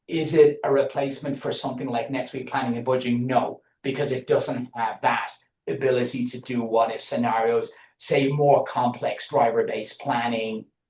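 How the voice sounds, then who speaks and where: A man with an Irish accent at medium pitch and moderate pace, in monotone, flat intonation. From Ireland. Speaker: business analytics consultant. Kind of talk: podcast interview. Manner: halting, many repeated words.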